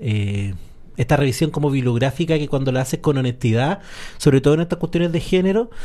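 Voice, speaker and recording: Talking at a very fast pace, a man with a Chilean accent has a fairly high pitch and a dark, mellow tone. His pitch variation is ordinary. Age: 40s. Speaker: radio host. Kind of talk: casual chat.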